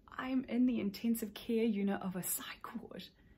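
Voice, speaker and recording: The woman's voice is somewhat breathy. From New Zealand, South Island. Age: 20s. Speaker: mental health advocate, YouTuber. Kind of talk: personal testimony to camera. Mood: somber, reflective. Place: home room. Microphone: phone near.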